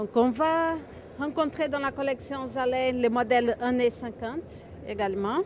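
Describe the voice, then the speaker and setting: Over noticeable background noise, a woman with a slight Brazilian accent talks at a high pitch and fairly slow pace, with ordinary pitch variation. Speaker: natural materials distributor. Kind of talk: product presentation.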